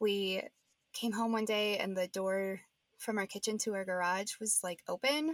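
A woman with a normal speaking voice talks at a fairly slow pace in a medium pitch, her intonation fairly even, the sound dry and close with no echo. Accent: American. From Nebraska. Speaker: podcast co-host. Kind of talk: casual chat, podcast conversation. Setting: home closet recording.

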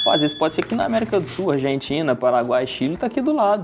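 There is music in the background as a man speaks. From Brazil, Birigui area (São Paulo state). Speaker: wedding videographer. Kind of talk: casual interview chat.

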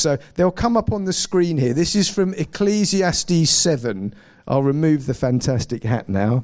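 A man with a southern English accent speaks with very wide pitch swings. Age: 40s. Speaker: pastor. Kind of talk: sermon.

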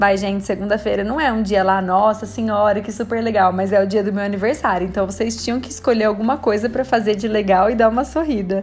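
A woman talks at a very fast pace with hardly any pauses. Noticeable background noise is present. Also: medium pitch for a woman. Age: 30s. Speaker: podcast host, nutritionist. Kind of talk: casual solo podcast monologue. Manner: animated, cheerful.

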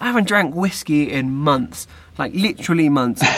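A man with an English accent, fairly high-pitched, at a moderate pace. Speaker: podcast host. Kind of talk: casual chat.

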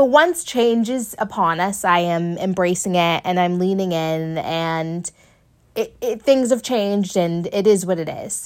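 On a very clean recording with a silent background, a woman uses an ordinary speaking voice at a medium pitch, with ordinary pitch variation and a fairly slow pace. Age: 20s. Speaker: podcast host. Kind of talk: solo monologue. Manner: casual, filler-heavy.

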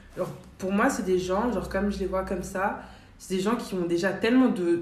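A woman's medium-pitched voice at a fairly quick pace, with audible room echo and noticeable background noise. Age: 20s. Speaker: student and shop saleswoman. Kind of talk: casual chat. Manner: halting.

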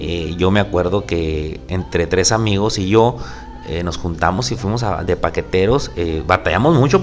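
A man speaks at a moderate pace. Noticeable background noise is present behind him. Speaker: podcast host. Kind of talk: casual solo podcast monologue. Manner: volume drops at times; halting, many fillers.

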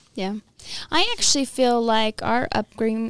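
A woman with an unremarkable speaking voice talks at a fairly slow pace, with fairly high pitch and fairly even intonation. The recording is very clean, with a silent background and a dry, close sound with no echo. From US, Mexican-American family from Michoacan. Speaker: college graduate, first-generation professional. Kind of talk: casual interview.

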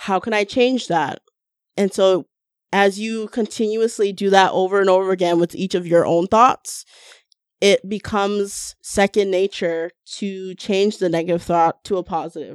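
A woman with a Canadian accent and an unremarkable speaking voice, medium in pitch, at a moderate pace with fairly even intonation, over a quiet background. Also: dry, close sound with no echo. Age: 30s. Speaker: massage therapist. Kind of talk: casual chat. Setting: studio.

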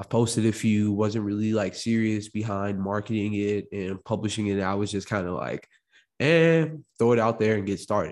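Over a quiet background, a man with an American accent and an unremarkable speaking voice talks at a fairly low pitch with ordinary pitch variation. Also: moderate pace. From Illinois, US Midwest (Chicago, Morris). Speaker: podcast host and entrepreneur. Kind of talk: solo podcast monologue. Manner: casual, conversational.

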